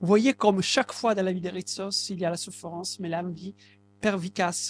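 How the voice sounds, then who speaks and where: High-pitched male speech at a moderate pace, with ordinary pitch variation and a dry, close sound with no echo. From southern Italy, Basilicata. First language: Italian (speaking French). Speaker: translator. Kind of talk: public talk. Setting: bookshop event with audience. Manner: halting.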